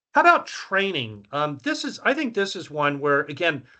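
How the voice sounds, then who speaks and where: A bright, sharp tone with lively intonation over a quiet background. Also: man. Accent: Virginia. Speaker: survey researcher presenting findings. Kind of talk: presentation. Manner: casual, filler-heavy.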